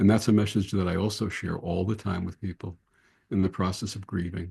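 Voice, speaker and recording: A man's somewhat breathy voice with a dark, mellow tone over a quiet background. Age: 70s. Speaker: interfaith minister and podcast host. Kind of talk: interview conversation.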